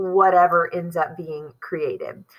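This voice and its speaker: A woman speaks in a normal speaking voice at a moderate pace with ordinary pitch variation. The recording is very clean with a silent background. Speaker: teacher. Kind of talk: lecture. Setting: school. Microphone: poor audio quality.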